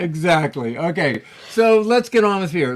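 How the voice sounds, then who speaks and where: A man speaks at a high pitch with very wide pitch swings. Noticeable background noise is present. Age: 60s. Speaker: podcast co-host. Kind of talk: casual chat.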